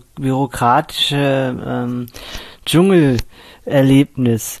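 This man's voice sits fairly high in pitch. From Cologne, western Germany. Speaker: blind sound engineer. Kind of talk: interview.

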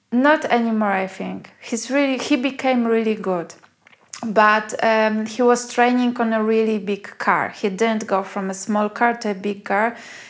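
At a fairly slow pace, a woman speaks in a fairly high pitch with a Polish accent. Her intonation is fairly even. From Poland. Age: 40s. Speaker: food blogger. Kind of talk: casual chat.

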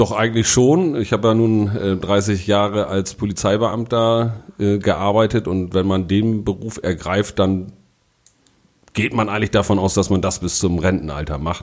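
He has an ordinary speaking voice, pitched fairly low. His intonation stays fairly even, and his pace is moderate. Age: 50s. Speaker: city official and councillor. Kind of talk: casual interview.

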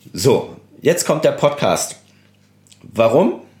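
A man is speaking. His pace is very slow. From Germany, Koblenz (Rhineland-Palatinate). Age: 30s. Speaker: portrait photographer, podcast host. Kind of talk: solo podcast monologue. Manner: casual, many filler sounds.

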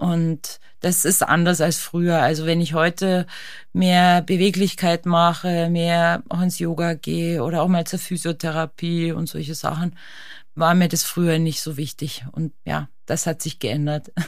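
The intonation is flat and monotone. The delivery is fairly slow. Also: woman, fairly low pitch for a woman, very clean recording, silent background. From Austria. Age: 40s. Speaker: ice climbing champion and alpinist. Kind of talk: casual interview. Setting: studio.

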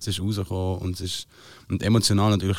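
A man speaks at a fairly low pitch. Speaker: singer-songwriter. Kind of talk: casual chat.

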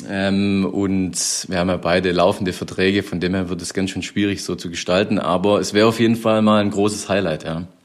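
Monotone and flat, a man with a very deep, low pitch talks at a fairly quick pace with hardly any pauses. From Swabia, Germany. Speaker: handball player, younger brother of guest. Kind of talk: recorded interview.

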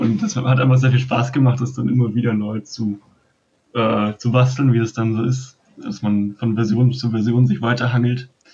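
A man at medium pitch with a dark, mellow tone, somewhat breathy, at a moderate pace with fairly even intonation. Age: young. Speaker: board game designer, podcast co-host. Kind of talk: casual podcast chat. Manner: hesitant, many fillers.

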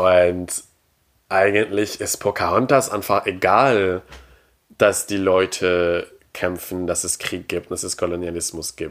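Very clean with a silent background, the recording holds a man's fairly low pitch. He talks at a fairly slow pace. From Quebec. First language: French (speaking German). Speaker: podcast guest, pop culture fan. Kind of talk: casual chat. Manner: halting, repeats words.

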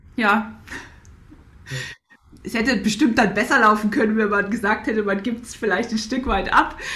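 Amid noticeable background noise and audible room echo, a woman speaks at a fairly high pitch and a moderate pace, with ordinary pitch variation and long, frequent pauses. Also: big swings in loudness. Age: 30s. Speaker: Paralympic athlete and mental coach. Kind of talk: interview conversation. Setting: video call. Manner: halting, many repetitions.

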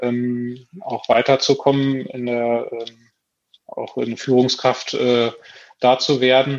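A man with a medium pitch speaks at a very slow pace in a monotone, flat intonation. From Lower Saxony, Braunschweig area. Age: 40s. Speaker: farmer. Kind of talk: casual chat. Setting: video call.

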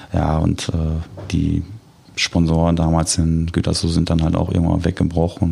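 Noticeable background noise sits under a man's very deep, low voice. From Germany, Dortmund. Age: 40s. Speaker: goalkeeper coach. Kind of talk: casual interview chat.

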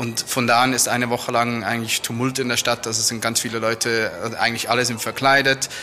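A man's medium-pitched voice, very fast and monotone, over noticeable background noise. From Switzerland, near Lucerne. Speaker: tourism manager and carnival participant. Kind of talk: interview.

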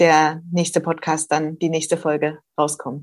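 A woman speaks with a slight Saxon accent. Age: 40s. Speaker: social worker, association co-founder. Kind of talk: interview.

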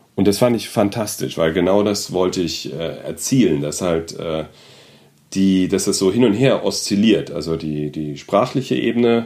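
A man with a fairly low pitch and dark, mellow tone speaks at a fairly slow pace with lively intonation on a very clean recording with a silent background. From Germany, Frankfurt am Main (Hesse). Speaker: photographer. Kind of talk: interview. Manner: hesitant, many fillers.

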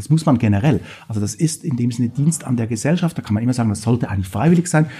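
A man with a slight Swiss German accent speaks at a medium pitch with ordinary pitch variation. His tone is dark and mellow, and somewhat breathy. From Switzerland. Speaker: political science professor. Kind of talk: interview.

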